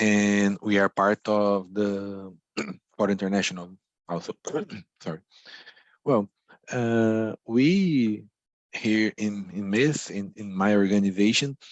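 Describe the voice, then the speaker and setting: A man with a non-native accent speaks at a very slow pace, with long, frequent pauses. His pitch is fairly low and his intonation fairly even. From Brazil. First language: Portuguese. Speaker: activist. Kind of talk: debate speech.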